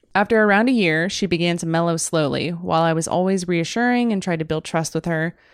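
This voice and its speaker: Talking very fast, a woman with a fairly low pitch keeps her tone animated. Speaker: podcast co-host. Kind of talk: casual chat. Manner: animated, joking.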